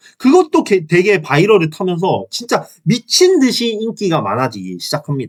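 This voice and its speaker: In an animated tone with very wide pitch swings, a man with a Gyeongsang accent speaks at a moderate pace. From Gyeongsang region, South Korea. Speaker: YouTuber. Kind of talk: casual video commentary.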